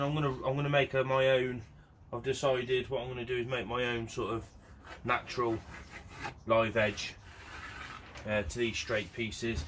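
Noticeable background noise sits behind the recording. A man speaks over it at a moderate pace. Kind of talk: tutorial. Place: workshop. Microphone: camera far.

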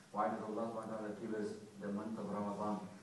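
A man talks at a very fast pace. Strong room echo and light background noise accompany him. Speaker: preacher. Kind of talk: sermon. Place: church. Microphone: camera far.

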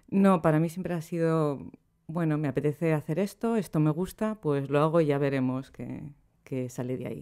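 Against a quiet background, a woman with a very deep, low pitch and a dark, mellow tone speaks at a moderate pace with ordinary pitch variation. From Spain, Basque Country (Bilbao). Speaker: poet and translator; poet. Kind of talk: interview. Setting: studio. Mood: relaxed, reflective. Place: home room. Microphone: studio mic.

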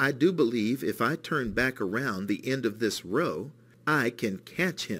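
An unforced reading voice moves along with lively intonation.

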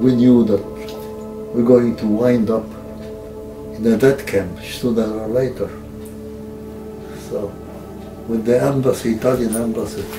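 Fairly slow speech from a man, clear music in the background. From Danzig. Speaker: World War II veteran. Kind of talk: interview answer. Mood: calm, reflective storytelling. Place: home room.

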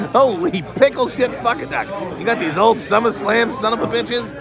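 Crowd noise can be heard in the background. A man speaks at a moderate pace over it. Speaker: toy collector vlogger. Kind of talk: casual vlog commentary. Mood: mocking, crude, laughing. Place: hall. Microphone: phone near.

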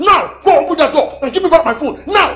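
A put-on character voice, shouting at a fairly quick pace. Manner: shouting, commanding.

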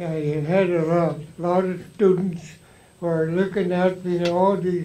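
Monotone, flat delivery with a dark, mellow tone, a fairly slow pace and light background noise. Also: man. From Alaska Native, Tsimshian. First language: Tsimshian (Sm'algyax). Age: 80s+. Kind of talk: storytelling to a live audience. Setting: live event, audience. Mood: warm, reminiscing. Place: hall.

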